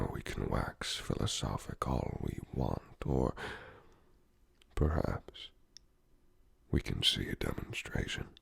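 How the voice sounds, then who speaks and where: Whispering from a man at a very slow pace, with long, frequent pauses. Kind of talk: ASMR roleplay talk to the listener. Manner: whispered.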